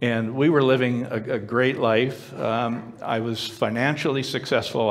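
An ordinary speaking voice moves at a moderate pace with fairly even intonation. There are hardly any pauses. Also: man. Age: 60s. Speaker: storyteller sharing personal testimony. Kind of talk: testimony. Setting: stage with audience. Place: stage.

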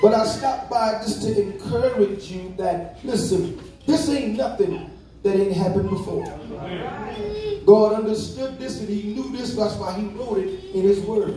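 Over noticeable background noise and audible room echo, a man with a high pitch speaks at a fairly slow pace with ordinary pitch variation. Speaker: preacher. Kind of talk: sermon. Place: church. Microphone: phone near.

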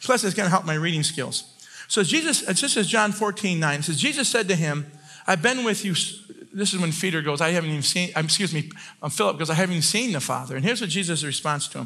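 Talking at a very fast pace, a man with a high pitch uses lively intonation. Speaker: preacher. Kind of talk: sermon. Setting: church with congregation. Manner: fast talker; animated, loud at times. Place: church.

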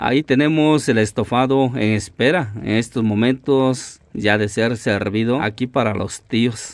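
A man with an ordinary speaking voice talks at a fairly slow pace, using medium pitch and ordinary pitch variation. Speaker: vlogger. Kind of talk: vlog narration and interview. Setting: outdoors.

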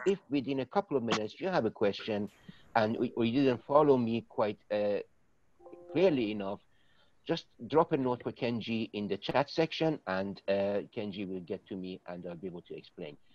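Over music in the background, a man speaks at a moderate pace with very wide pitch swings in a dry sound with no echo. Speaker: presenter. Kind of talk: informal session introduction to online audience. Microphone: video call.

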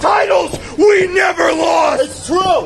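A man speaks at a very slow pace. Crowd noise can be heard behind him. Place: stadium. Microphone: camera far.

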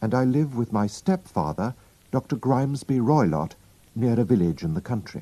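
Reading aloud in a natural voice, with a lively intonation

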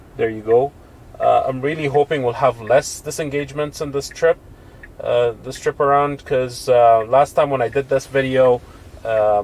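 A man talks at a moderate pace with fairly even intonation. The sound is dry with no echo. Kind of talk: casual vlog commentary. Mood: mildly annoyed, then hopeful. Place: car. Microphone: camera far.

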